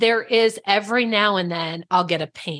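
Speaking in an unremarkable speaking voice, a woman keeps a medium pitch and a moderate pace. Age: 30s. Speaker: relationship and business coach. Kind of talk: casual chat.

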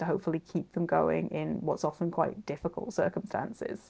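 A woman speaks with a Welsh accent. Her pace is moderate. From Wales, Cardiff. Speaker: author and researcher. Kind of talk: interview.

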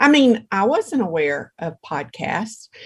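A woman speaks somewhat breathily at a fairly slow pace. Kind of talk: casual interview chat.

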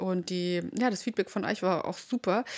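The recording is very clean, with a silent background. A woman with an ordinary speaking voice talks at a medium pitch. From Bavaria, rural area near Munich. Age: 20s. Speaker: podcast host, mom influencer. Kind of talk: casual monologue.

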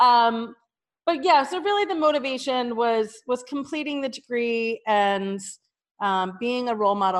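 A woman with an American accent and an unremarkable speaking voice, fairly high in pitch, with lively intonation at a moderate pace. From New Jersey. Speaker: bookkeeper and business owner. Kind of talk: interview.

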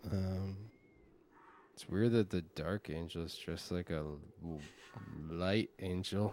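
A man with a very deep, low pitch speaks at a very slow pace, with fairly even intonation, big swings in loudness and long, frequent pauses. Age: 30s. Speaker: podcast host. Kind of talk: casual chat.

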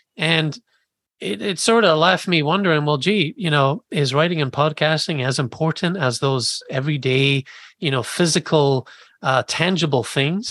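In a plain, everyday voice, a man speaks at a moderate pace and fairly high pitch with ordinary pitch variation, the sound dry and close with no echo against a quiet background. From Scotland, Edinburgh; moved to US at 11. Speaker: writer and podcast host. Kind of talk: interview conversation.

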